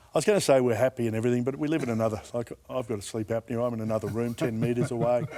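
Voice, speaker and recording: Speaking very fast with an Australian accent, a man keeps his intonation fairly even. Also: medium pitch for a man, hardly any pauses. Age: 60s. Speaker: former rugby league player and radio host. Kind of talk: casual chat.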